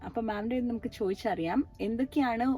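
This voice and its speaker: Background music can be heard. Over it, a woman is talking. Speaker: speech therapist. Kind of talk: interviewer questions.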